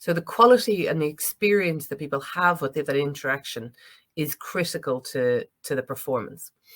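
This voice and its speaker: A speaker with an Irish accent comes through in a very clean recording with a silent background. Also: moderate pace. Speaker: planning consultant. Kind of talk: conference presentation. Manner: hesitant, many fillers.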